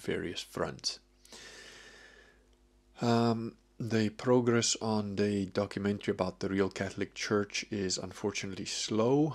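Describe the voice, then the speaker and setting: This is a normal speaking voice, moving at a fairly slow pace with ordinary pitch variation. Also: man. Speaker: vlogger. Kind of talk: casual vlog chat. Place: home room. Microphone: webcam.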